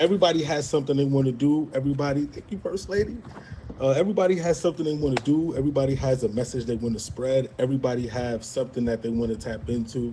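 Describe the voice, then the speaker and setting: Talking at a very fast pace in a strong Brooklyn accent, a man keeps a medium pitch with ordinary variation over noticeable background noise. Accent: strong Brooklyn New York. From Brooklyn, New York. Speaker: media editor and show admin. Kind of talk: casual chat.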